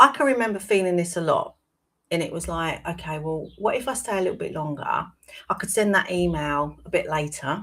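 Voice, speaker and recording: In a very clean recording with a silent background, a woman with a British accent speaks at a fairly quick pace, her medium-pitched voice bright and sharp in tone with lively intonation. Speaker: wellbeing coach. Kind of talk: live-stream talk. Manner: conversational.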